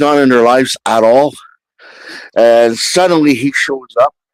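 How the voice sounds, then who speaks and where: Heard in a dry, close sound with no echo, a man of medium pitch speaks at a fairly slow pace with lively intonation. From French Canada. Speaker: live stream guest. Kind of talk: casual chat.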